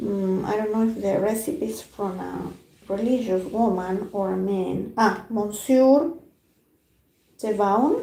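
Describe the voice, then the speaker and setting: The pace is very slow. Audible room echo surrounds the voice. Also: woman. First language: Spanish. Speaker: food journalist. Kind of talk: live stream book discussion. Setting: YouTube live stream, alone. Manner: halting.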